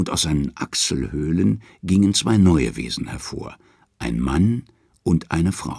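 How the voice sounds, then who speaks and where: This man has a very deep, low pitch with very wide swings and vocal fry, talking at a very slow pace. The recording is very clean against a silent background. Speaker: audiobook narrator. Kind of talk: dramatic narration of Norse myths, read aloud as an audiobook. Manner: measured storytelling pace, hushed and ominous, with a mythic tone and emphatic pauses.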